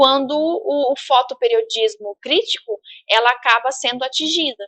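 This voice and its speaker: A woman speaks fairly slowly in a raised, projected voice. Her tone is bright and sharp, and the background is quiet. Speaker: university professor. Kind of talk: lecture. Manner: halting, many fillers and repetitions.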